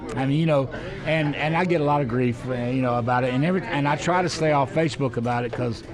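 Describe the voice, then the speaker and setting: A fairly high-pitched man with an Alabama accent speaks at a very fast pace, with very even loudness and ordinary pitch variation, against noticeable background noise. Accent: Alabama Southern US. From US South. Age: 60s. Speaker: city council president and former TV weatherman. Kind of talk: casual interview chat. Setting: restaurant.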